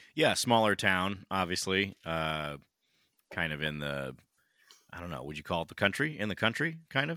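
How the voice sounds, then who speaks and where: A man speaks at a very deep, low pitch in a bright, sharp tone. His pitch swings very widely at a moderate pace. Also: big swings in loudness. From California. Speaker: podcast co-host. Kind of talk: casual chat. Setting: video call.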